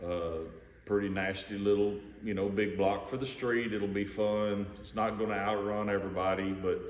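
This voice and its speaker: A man's relaxed, fairly low voice with a monotone, flat intonation at a moderate pace, amid audible room echo. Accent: American. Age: 50s. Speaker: hobbyist car builder. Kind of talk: casual video walkaround. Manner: relaxed, with many fillers.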